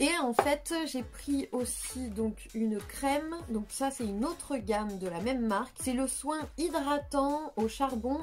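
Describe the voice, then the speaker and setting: A woman speaks at a very slow pace with hardly any pauses. Her pitch is high, with ordinary variation. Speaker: beauty youtuber. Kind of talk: product review vlog. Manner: hesitant, many fillers.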